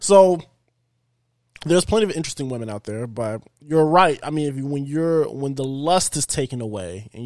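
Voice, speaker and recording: In an ordinary speaking voice, a man talks with fairly high pitch and lively intonation. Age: 20s. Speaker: podcast host and gamer. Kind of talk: casual chat.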